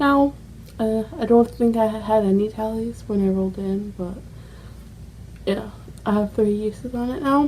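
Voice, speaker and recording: A woman's fairly slow speech with ordinary pitch variation, over noticeable background noise. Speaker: beauty vlogger. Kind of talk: casual vlog chat. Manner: animated.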